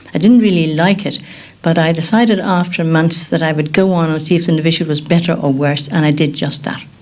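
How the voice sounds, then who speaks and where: An Irish accent with ordinary pitch variation, amid noticeable background noise and audible room echo. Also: woman, fairly low pitch for a woman, fairly quick pace. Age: 70s. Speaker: nun. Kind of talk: radio documentary interview. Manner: halting.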